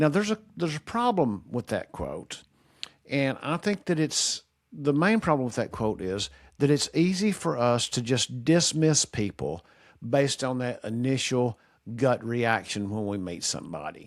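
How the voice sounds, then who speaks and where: A man speaks with very wide pitch swings on a very clean recording with a silent background. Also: medium pitch for a man, moderate pace. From Kentucky. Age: 60s. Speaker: retired teacher, video commentator. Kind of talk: casual monologue. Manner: straightforward, plain.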